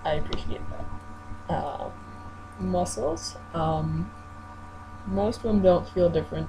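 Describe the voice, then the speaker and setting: Long, frequent pauses break up very slow speech, with noticeable background noise and audible room echo. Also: man. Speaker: vlogger. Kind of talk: video diary. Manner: halting.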